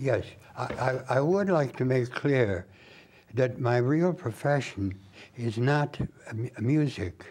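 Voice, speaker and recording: Very slow speech from a man with a medium pitch, lively intonation, long and frequent pauses, and noticeable background noise. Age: 90s. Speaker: saxophonist and former magazine writer. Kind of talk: interview answer.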